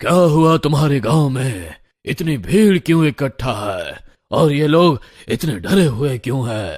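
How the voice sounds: A man's cartoonish character voice, fairly high and fairly slow, with lively intonation, on a very clean recording with a silent background.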